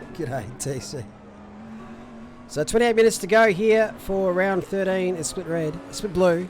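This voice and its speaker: A man's high-pitched voice at a fairly slow pace, with ordinary pitch variation, long, frequent pauses and music in the background. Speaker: sim racing commentator and streamer. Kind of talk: live commentary; casual chat with stream chat. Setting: live stream. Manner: casual, animated.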